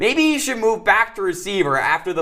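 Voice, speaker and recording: A high-pitched man with an American accent speaks in an upbeat, playful tone with lively intonation. Music plays in the background. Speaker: TV sports reporter and anchor. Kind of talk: sports anchor read to camera. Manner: upbeat, playful, punchy.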